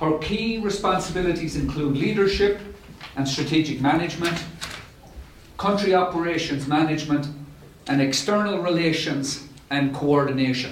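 A man's voice at very even loudness, with long, frequent pauses and noticeable background noise. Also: fairly high pitch for a man, ordinary pitch variation, moderate pace. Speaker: UN resident coordinator giving introduction. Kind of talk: welcome speech. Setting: live event at UN House.

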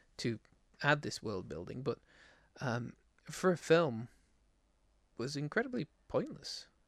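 Speaking at a moderate pace with an English accent, a man's fairly high voice sits in a very clean recording with a silent background. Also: dry, close sound with no echo. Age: 30s. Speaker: podcast host. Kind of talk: casual chat. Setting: live stream.

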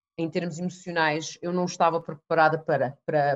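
A woman with an unremarkable speaking voice at a moderate pace. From Canada, then Portugal from age 12. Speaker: neuro-linguistic programming trainer. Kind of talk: interview.

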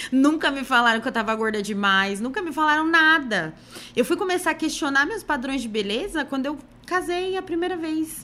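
A woman with a high, bright, sharp voice projects it at a moderate pace, her pitch swinging very widely. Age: 30s. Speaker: image consultant and body-positive content creator. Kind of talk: casual podcast interview.

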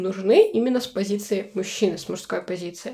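This woman's voice has a dark, mellow tone. Her pitch varies an ordinary amount. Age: 20s. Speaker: podcast guest, former event organizer. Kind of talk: casual chat.

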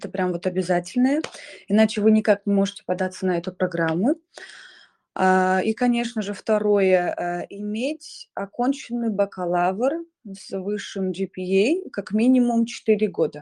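A woman speaks at a fairly slow pace with a medium pitch and ordinary pitch variation. Her tone is dark and mellow, against a quiet background. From Kazakhstan, Shymkent. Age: 20s. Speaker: scholarship student, performing artist. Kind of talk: online live interview.

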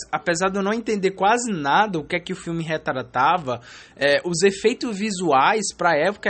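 Ordinary pitch variation marks speech that proceeds at a moderate pace. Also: man. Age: 20s. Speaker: podcaster and law student. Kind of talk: casual solo monologue. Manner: casual slangy, some stammering.

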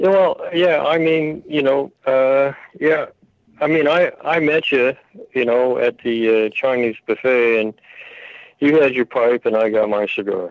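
This man has a plain, everyday voice, fairly high in pitch with ordinary pitch variation. He talks at a fairly slow pace with very even loudness. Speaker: caller. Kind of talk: rant about history and oaths. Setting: phone call.

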